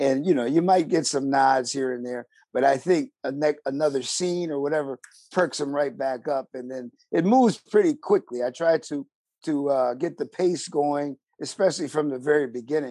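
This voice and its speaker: This man has an American accent and a dark, mellow tone, pitched fairly high with ordinary pitch variation. He keeps a moderate pace in a dry, close sound with no echo. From Buffalo, western New York, US. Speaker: theater actor and director. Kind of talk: casual interview chat.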